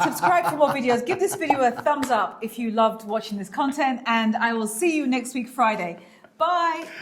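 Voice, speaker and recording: A woman speaks with a high pitch and lively intonation. There is noticeable background noise. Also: moderate pace. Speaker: lifestyle vlogger. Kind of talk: casual chat. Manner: animated.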